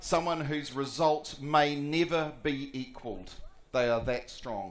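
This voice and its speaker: A man with a New Zealand accent talks at a fairly high pitch. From New Zealand, Palmerston North. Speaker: sports commentator. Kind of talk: prize-giving announcement.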